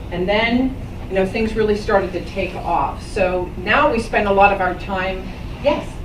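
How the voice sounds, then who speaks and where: A woman with a medium pitch and ordinary pitch variation speaks at a moderate pace amid noticeable background noise and audible room echo. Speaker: business owner giving a talk to students. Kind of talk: talk to a school class. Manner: loud.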